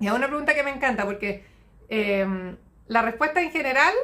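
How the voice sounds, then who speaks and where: A woman with a Chilean accent speaks fairly quickly in a raised, projected voice. Her tone is bright and sharp, with ordinary pitch variation. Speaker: nutritionist. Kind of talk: live stream Q&A. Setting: live stream. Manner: fast. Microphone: phone near.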